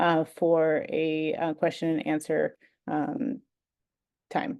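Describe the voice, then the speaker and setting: A woman's dark, mellow tone over a quiet background. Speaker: nonprofit consultancy CEO presenting brownfield redevelopment; webinar presenter. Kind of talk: webinar presentation. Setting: online webinar. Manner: many filler words (um, uh). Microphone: webcam.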